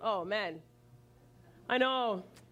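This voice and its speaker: An animated woman's voice in a Canadian accent, fairly high and lively in intonation, with music in the background. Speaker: college professor and public speaker. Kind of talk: conference talk. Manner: fast.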